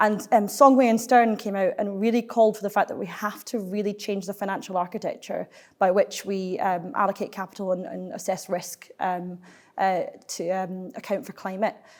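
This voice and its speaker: Someone speaks with a Glaswegian accent in a very clean recording with a silent background. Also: woman, medium pitch for a woman, ordinary pitch variation, moderate pace. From Scotland, Glasgow. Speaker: climate policy think tank finance lead. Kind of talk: panel discussion.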